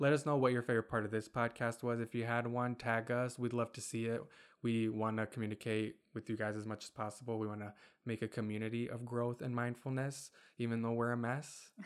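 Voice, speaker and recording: Flat, monotone intonation marks this fairly quick speech with an American accent, recorded very cleanly against a silent background. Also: man, medium pitch for a man. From Michigan (Kentwood), US; Bosnian family. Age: 20s. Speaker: podcast co-host. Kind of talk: casual chat. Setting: home recording with dog, video.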